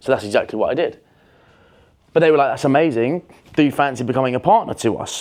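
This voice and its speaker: Speaking very fast with a British accent, a man uses ordinary pitch variation. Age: 20s. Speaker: entrepreneur. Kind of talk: casual talk to camera. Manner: confident.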